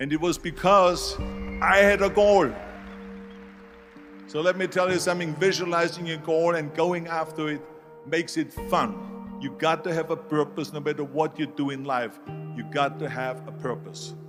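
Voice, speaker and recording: With an Austrian accent, a man talks at a moderate pace in a fairly high pitch with ordinary pitch variation while music plays in the background. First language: German. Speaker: former bodybuilder, actor and politician. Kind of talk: motivational speech.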